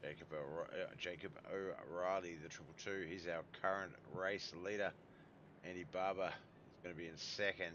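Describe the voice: A man speaks with a low pitch, a fairly bright tone and fairly even intonation. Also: moderate pace.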